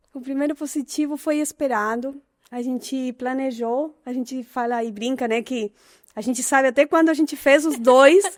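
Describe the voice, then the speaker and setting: A woman with an Argentine accent speaks at a high pitch and a moderate pace, using ordinary pitch variation and big swings in loudness. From Argentina. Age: 30s. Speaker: mother and content creator. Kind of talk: interview. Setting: studio.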